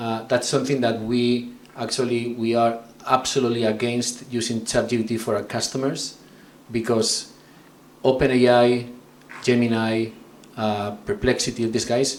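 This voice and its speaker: With a strong Spanish accent and a medium pitch, a man talks at a moderate pace with long, frequent pauses amid audible room echo. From northern Spain, San Sebastian. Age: 40s. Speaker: tech company executive. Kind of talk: conference talk. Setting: stage with audience.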